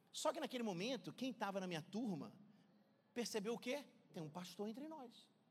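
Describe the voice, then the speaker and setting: Speaking at a fairly quick pace, a man with a high voice uses lively intonation and takes long, frequent pauses. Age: 40s. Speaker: pastor. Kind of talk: sermon. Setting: church. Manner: animated.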